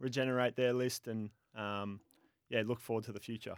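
Over a silent background in a very clean recording, a man with an Australian accent and medium pitch speaks at a moderate pace. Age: 20s. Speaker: professional footballer. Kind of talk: radio interview. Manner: hesitant, many fillers.

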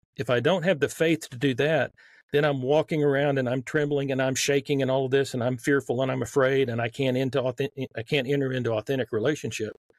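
In a Southern US accent, a man delivers his words at a very fast pace, using a medium pitch and fairly even intonation. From Texas. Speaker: author.

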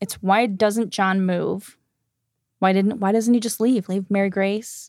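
Recorded very cleanly against a silent background, a woman with a plain, everyday voice speaks at a fairly slow pace and a medium pitch with fairly even intonation. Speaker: podcast host. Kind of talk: casual chat.

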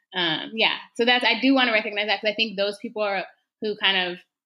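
A woman talks at a very fast pace with fairly even intonation. Her pitch is fairly high. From Texas. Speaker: community organizer. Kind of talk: podcast interview.

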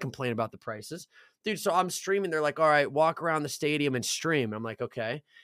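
Lively intonation and an animated tone run through this man's speech, delivered at a very fast pace. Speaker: podcast host. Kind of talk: casual banter, profane chat between friends, with an angry rant near 15:50. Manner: fast, animated, ranting and sweary.

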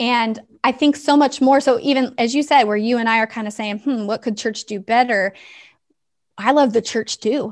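A woman with an ordinary speaking voice at a moderate pace, over a quiet background. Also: fairly high pitch for a woman. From US West Coast. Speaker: ministry founder. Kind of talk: casual interview.

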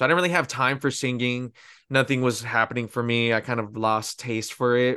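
Over a quiet background, a man with an American accent talks at a fairly quick pace and medium pitch, his bright, sharp tone set to fairly even intonation. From Pico Rivera, East Los Angeles area, California. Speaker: singer. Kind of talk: interview.

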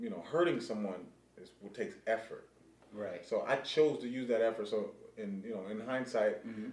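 A man with an American accent at a fairly quick pace, with noticeable background noise and audible room echo. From Pasadena, California. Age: 40s. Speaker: streetball player. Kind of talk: casual interview chat.

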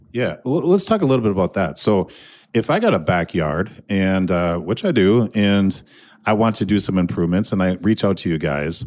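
An ordinary speaking voice from a man with an American accent, fairly low in pitch with ordinary pitch variation and very even loudness. He talks at a moderate pace in a very clean recording with a silent background. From Minnesota, Annandale. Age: 40s. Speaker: podcast host. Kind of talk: casual interview. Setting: studio.

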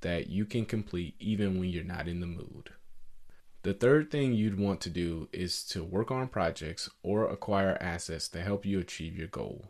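A man with an American accent, fairly low pitch, ordinary pitch variation and a normal speaking voice, at a fairly slow pace over a quiet background. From US South, Atlanta, Georgia. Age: 20s. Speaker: podcast host. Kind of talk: monologue podcast, advice talk.

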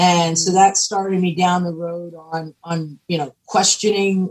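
Speaking fairly slowly, a woman with an American accent has a fairly low pitch and an ordinary speaking voice. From Pennsylvania. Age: 50s. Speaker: cannabis entrepreneur and activist. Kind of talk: podcast interview.

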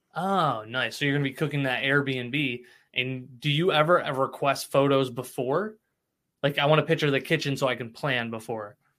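With an American accent, a man has an ordinary speaking voice at a fairly high pitch, with ordinary pitch variation and a moderate pace, on a very clean recording with a silent background. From US Midwest (Cicero, Illinois area). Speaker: podcast host. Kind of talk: casual chat; scripted narration.

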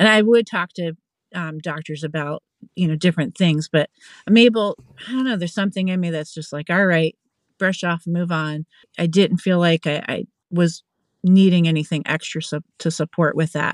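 A woman with an unremarkable speaking voice and an American accent talks at a moderate pace, her fairly low pitch moving in the ordinary way against a quiet background. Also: dry, close sound with no echo. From Pennsylvania. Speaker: family support worker. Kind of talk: interview.

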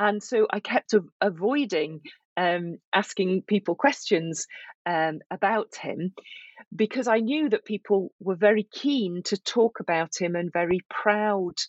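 The speaker talks at a fairly slow pace in a Yorkshire accent. Pitch variation is ordinary. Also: woman. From northern England, Yorkshire. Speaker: professor and author. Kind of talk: interview.

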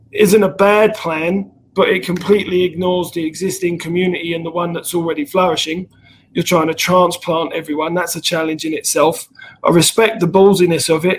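A man speaks with a southern English accent in a high pitch. His intonation is monotone and flat. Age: 30s. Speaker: rugby organization founder. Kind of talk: casual interview.

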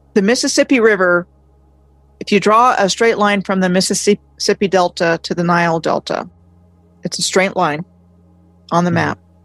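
A woman with an American accent at a medium pitch and a moderate pace, with ordinary pitch variation and long, frequent pauses, on a dry, close recording with no echo and music in the background. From Maryland, US (Montgomery County, near Washington D.C.). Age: 50s. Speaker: independent history researcher and video blogger. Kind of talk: interview.

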